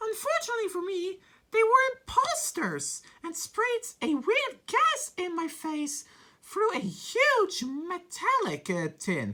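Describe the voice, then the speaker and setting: A woman's squeaky, extremely high voice at a fairly slow pace, with very wide pitch swings. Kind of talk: fan story reading. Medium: virtual streamer. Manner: hesitant, stumbling over words.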